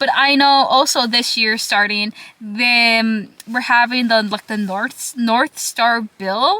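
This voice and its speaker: A woman's fairly high voice in a Minnesota accent, very slow in pace with hardly any pauses and ordinary pitch variation. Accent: picked up a Minnesota. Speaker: vlogger, college student. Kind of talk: casual talking vlog. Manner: rambling, filler-heavy.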